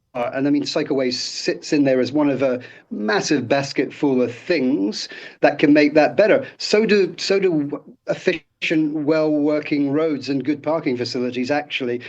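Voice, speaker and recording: In a British accent, the speaker talks at a moderate pace with ordinary pitch variation against a quiet background. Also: man, fairly high pitch for a man. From Britain. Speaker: city councillor. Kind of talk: radio interview. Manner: halting, many repeated words and fillers.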